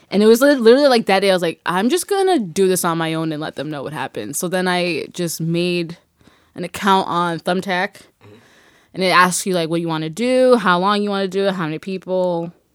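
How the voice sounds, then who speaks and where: Over a silent background in a very clean recording, a woman with an American accent and an unremarkable speaking voice talks fairly quickly at a medium pitch, with ordinary pitch variation and big swings in loudness. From Boston, Massachusetts (Dorchester/Mattapan). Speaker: podcast co-host. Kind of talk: casual chat.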